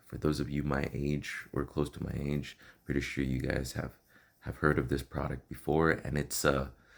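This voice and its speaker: A man speaks in a very deep, low voice with vocal fry. His intonation is monotone and flat. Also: moderate pace. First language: Spanish. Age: 30s. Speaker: vlogger sharing personal health story. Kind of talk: personal testimony vlog. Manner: hesitant, many fillers and repetitions.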